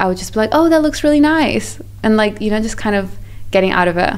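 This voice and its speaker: With lively intonation, a woman of medium pitch talks at a very fast pace. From Pakistan, raised partly in Malaysia. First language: not English. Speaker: business founder. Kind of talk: podcast interview. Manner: animated.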